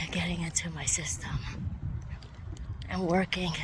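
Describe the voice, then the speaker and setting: A woman is speaking. She keeps a moderate pace. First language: not English. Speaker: vlogger. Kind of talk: casual vlog monologue.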